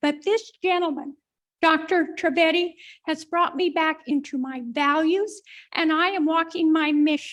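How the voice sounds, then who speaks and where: Her pitch extremely high, a woman speaks at a moderate pace with fairly even intonation. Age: 80s+. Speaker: energy worker, testimonial speaker. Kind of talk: testimony.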